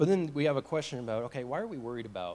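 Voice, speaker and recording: Lively intonation marks this man's speech, delivered at a fairly quick pace. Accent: American. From US South. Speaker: church member giving a testimony. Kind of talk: personal testimony talk with slides. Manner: casual, with many fillers.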